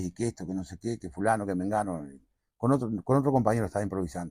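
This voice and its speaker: Lively intonation marks this man's speech in a very clean recording with a silent background and a dry, close sound without echo. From Uruguay, Montevideo. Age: 50s. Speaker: payador (improvising folk poet-singer). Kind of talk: interview conversation.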